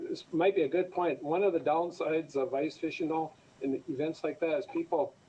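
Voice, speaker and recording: Speaking in an Upper Midwest accent, a man with a fairly high pitch keeps a moderate pace and fairly even intonation. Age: 60s. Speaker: fisheries official. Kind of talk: radio interview.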